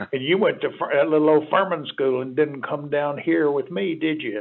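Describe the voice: Over light background noise, a man does a gravelly put-on character voice, fairly high in pitch, with ordinary pitch variation and a moderate pace.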